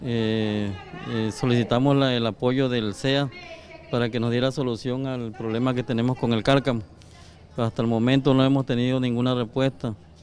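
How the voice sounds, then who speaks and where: Crowd noise fills the background. A man speaks in a monotone, flat intonation. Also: moderate pace. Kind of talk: interview answer. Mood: complaining, earnest. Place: street. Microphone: handheld.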